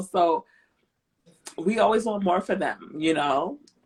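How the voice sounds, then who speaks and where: Lively intonation marks this speaker's American accent, delivered at a fairly slow pace. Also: woman. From grew up outside the US. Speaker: podcast host. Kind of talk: casual chat.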